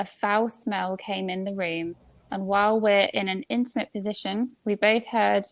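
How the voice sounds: This is a natural reading voice. It has ordinary pitch variation.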